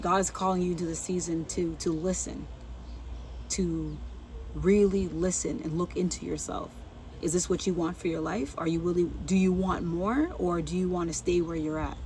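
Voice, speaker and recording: A soft-spoken woman talks at a moderate pace, with audible room echo. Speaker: faith vlogger. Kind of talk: inspirational talk.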